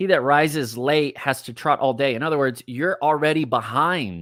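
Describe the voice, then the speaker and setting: With a Texas accent, a man speaks in a fairly high voice and an animated tone. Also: very clean recording, silent background. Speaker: life coach. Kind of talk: live-streamed coaching talk.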